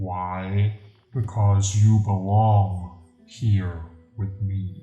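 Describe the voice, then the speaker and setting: In a cartoonish character voice, a man with a fairly low pitch speaks at a very slow pace, with slight echo and faint music in the background. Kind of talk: comedic monologue to camera. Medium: puppet. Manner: smug, sarcastic.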